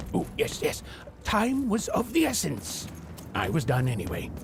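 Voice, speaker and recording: A man's put-on character voice at a moderate pace, with clear background noise. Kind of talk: dark fairy-tale narration. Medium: video game.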